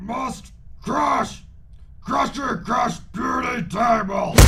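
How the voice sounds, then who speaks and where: A man's put-on character voice at an extremely high pitch and very slow pace, over loud background noise. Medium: audio drama. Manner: shouted, simple broken speech.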